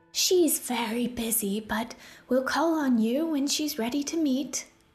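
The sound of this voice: Music plays in the background while a woman uses a raspy, high-pitched, put-on character voice at a fairly slow pace.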